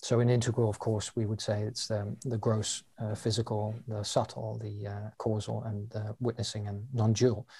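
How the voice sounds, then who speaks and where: A man's voice with a dark, mellow tone and a somewhat breathy quality, captured in a very clean recording with a silent background. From London, England. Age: 40s. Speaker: coach and teacher. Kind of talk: interview explanation.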